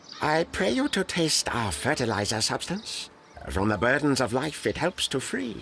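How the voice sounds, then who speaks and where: A man's put-on character voice, pompous in tone, at medium pitch and moderate pace, with clear background noise. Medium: video game. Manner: pompous, stilted, oddly ordered speech.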